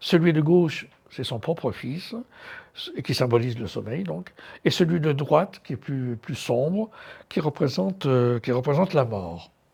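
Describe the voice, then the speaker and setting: Somewhat breathy and fairly high-pitched, a man talks at a fairly slow pace with very wide pitch swings and long, frequent pauses, on a very clean recording with a silent background. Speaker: art curator and lecturer. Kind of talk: lecture. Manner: hesitant, many fillers.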